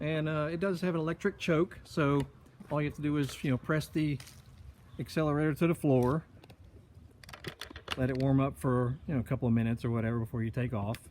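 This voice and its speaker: A man talks at a very fast pace, with ordinary pitch variation. His speech is broken by long, frequent pauses. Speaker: private car seller. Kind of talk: casual video walkaround sales pitch. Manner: casual with filler words; speaking louder to be heard.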